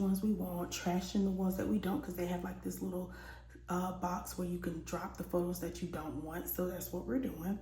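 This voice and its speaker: Moderately paced speech from a woman, audible room echo and noticeable background noise around it. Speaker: beauty vlogger. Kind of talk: storytime. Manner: casual.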